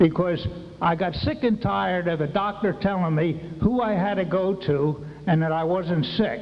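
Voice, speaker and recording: Audible room echo and noticeable background noise surround a high-pitched man speaking at a moderate pace with ordinary pitch variation. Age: 70s. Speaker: retired military veteran speaking at a public meeting. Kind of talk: public comment at a town hall. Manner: halting, repeats words; agitated, worked up.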